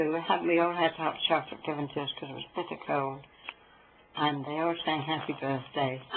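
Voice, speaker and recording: A woman with a Norfolk accent speaks fairly quickly at a very deep, low pitch in a monotone, flat delivery. Noticeable background noise runs under her voice. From Norfolk, England. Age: 80s+. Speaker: Second World War veteran. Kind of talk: interview answer.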